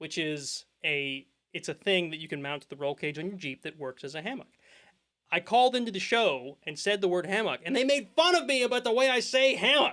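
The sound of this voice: A man with a Pennsylvania accent projects a raised voice in a bright, sharp tone at a high pitch, talking at a fairly quick pace with very wide pitch swings and big swings in loudness. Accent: rural Pennsylvania.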